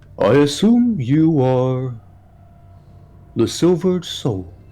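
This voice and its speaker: A man's put-on character voice, fairly high in pitch and very slow in pace. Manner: formal, measured.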